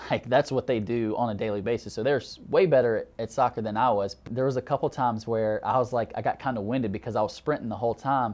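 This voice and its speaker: This man's speech has a Southern US accent. He delivers it very fast. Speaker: graduate counseling student. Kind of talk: interview testimony.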